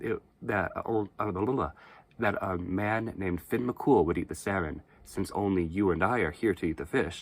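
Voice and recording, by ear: In a natural voice, the text is read aloud, its pitch rising and falling in an ordinary way.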